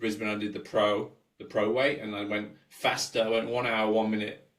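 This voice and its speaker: Medium-pitched male speech with audible room echo. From England. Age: 40s. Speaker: sports scientist and coach. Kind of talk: podcast interview.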